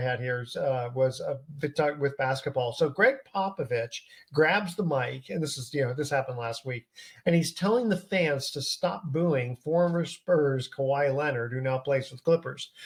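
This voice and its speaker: A somewhat breathy man at a moderate pace, fairly high in pitch with ordinary pitch variation. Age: 60s. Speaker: sports talk show host. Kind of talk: casual chat. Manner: halting.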